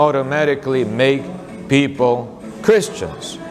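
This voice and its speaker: A man's fairly high voice in a Korean accent, with audible room echo and noticeable background noise. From South Korea. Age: 60s. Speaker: pastor. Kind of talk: talk about his mission and book. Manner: hesitant, many filler sounds.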